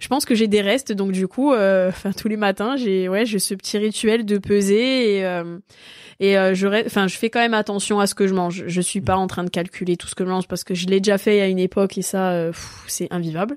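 Delivered at a fairly quick pace, a plain, everyday voice keeps its intonation fairly even. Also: woman, medium pitch for a woman, very clean recording, silent background. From Corsica (Ajaccio). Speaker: karate athlete. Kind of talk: interview.

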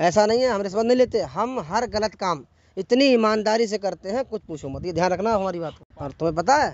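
Hardly pausing, a man speaks at a moderate pace in a dry sound with no echo. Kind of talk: acted comedic dialogue. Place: open country.

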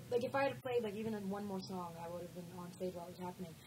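Light background noise behind a woman speaking. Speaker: interview guest. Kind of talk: interview answer. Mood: amused, chatty. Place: meeting room. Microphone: handheld.

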